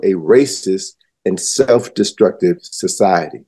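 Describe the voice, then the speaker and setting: The tone here is dark and mellow. It belongs to a man talking at a fairly slow pace. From US Midwest, Chicago. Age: 70s. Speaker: historian and educator. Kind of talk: interview.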